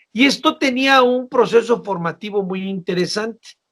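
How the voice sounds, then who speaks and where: A man with a high voice and ordinary pitch variation talks at a fairly slow pace. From northern Mexico, Baja California (Ensenada). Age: 60s. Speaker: political analyst. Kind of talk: interview.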